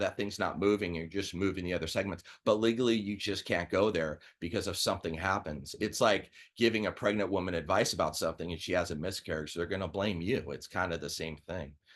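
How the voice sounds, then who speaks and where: Against a quiet background, a man with an American accent speaks at a very fast pace. His pitch is fairly low, with ordinary pitch variation. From Southern California. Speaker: chiropractor. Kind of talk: webinar presentation. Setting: online webinar. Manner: casual, direct.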